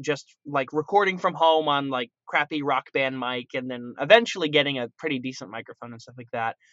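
A man with a fairly high pitch and ordinary pitch variation has an ordinary speaking voice. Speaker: voice actor. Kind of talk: casual chat.

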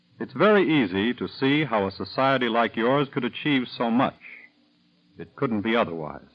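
A man with a plain, everyday voice speaks at a moderate pace, his medium pitch carried by lively intonation. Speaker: radio announcer. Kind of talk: scripted radio announcement. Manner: formal, polished, measured announcer delivery.

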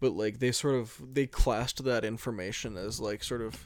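A man's fairly quick delivery with ordinary pitch variation, on a very clean recording over a silent background. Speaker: podcast co-host. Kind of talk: casual chat. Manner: high energy.

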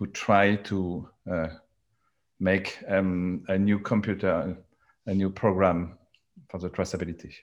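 A man with a French accent speaks at a very deep, low pitch, fairly slowly and in a monotone, flat way. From France. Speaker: charcoal technology entrepreneur. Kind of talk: panel discussion. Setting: video call. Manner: halting.

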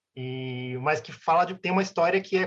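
This is a man speaking with a Brazilian accent. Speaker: band musician. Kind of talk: casual interview. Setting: video call.

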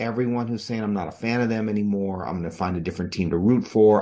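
A man talks in a normal speaking voice at a medium pitch. He keeps a fairly quick pace against a quiet background. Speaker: sports podcast host. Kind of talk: heated fan rant scolding fair-weather fans. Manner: fired-up, confrontational, jabbing insults at listeners; casual, filler-heavy delivery.

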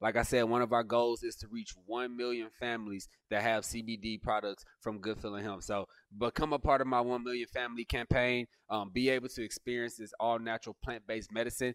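In a dry, close sound with no echo, a man talks at a fairly quick pace with monotone, flat intonation. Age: 20s. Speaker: CEO of a hemp company. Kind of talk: casual interview chat. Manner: calm.

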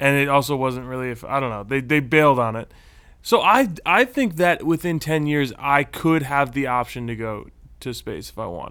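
A man with an American accent, fairly high-pitched, bright and sharp in tone, at a moderate pace with ordinary pitch variation and big swings in loudness, very clean recording and silent background. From Texas. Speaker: podcast co-host. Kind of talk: casual chat.

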